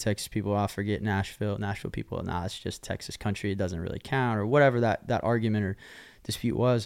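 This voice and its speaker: Over a silent background in a very clean recording, the speaker rattles along at a very fast pace with an American accent. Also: man, fairly low pitch for a man, ordinary pitch variation. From Oklahoma. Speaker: country singer-songwriter. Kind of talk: casual chat.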